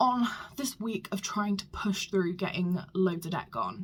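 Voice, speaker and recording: A woman speaks at medium pitch with a British accent and a moderate pace. Her intonation stays fairly even, and her voice is somewhat breathy. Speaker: small business vlogger. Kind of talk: casual vlog. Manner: hesitant with many ums.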